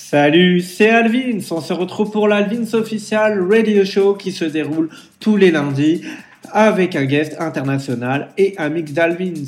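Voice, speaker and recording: A man is speaking with a high pitch. His pitch varies an ordinary amount. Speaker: radio DJ. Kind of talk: radio DJ patter, scripted show intro. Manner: upbeat, brisk, promotional.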